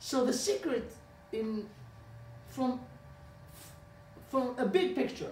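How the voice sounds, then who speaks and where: A man with an Israeli accent speaks at a moderate pace and an extremely high pitch with very wide pitch swings, leaving long, frequent pauses amid noticeable background noise and audible room echo. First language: Hebrew. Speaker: rabbi. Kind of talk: lecture. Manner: halting.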